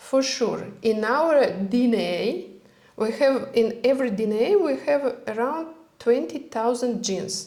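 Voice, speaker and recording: Speaking very slowly with a non-native accent, a woman uses a high pitch and ordinary pitch variation while audible room echo fills the recording. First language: not English. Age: 40s. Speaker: health and longevity expert. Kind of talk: casual interview chat. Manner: halting.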